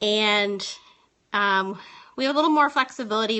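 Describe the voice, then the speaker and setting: In an unremarkable speaking voice, a woman talks at a fairly quick pace, her pitch fairly high and varying in an ordinary way. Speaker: teacher and live streamer. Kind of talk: casual live stream tips talk. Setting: phone live stream.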